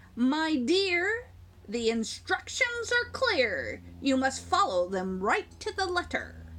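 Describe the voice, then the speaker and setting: A woman uses a put-on character voice at a very slow pace. Background noise is clearly heard. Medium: read story.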